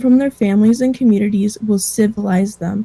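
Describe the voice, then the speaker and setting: Speaking with an American accent at a fairly quick pace, a woman has a fairly high pitch, a dark, mellow, somewhat breathy tone, and fairly even intonation. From Idaho, US. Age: young. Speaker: Native youth presenter. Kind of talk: presentation.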